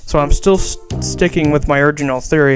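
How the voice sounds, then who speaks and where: Someone talks at a fairly quick pace while music plays in the background. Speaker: video analysis narrator. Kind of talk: scripted analysis narration. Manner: frequent stuttering; fast.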